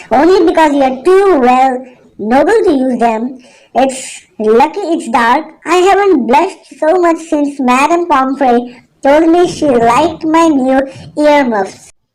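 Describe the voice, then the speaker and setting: A female-sounding voice puts on a character voice pitched high. She takes it at a fairly slow pace. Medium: audio drama. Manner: brisk, clipped, impatient.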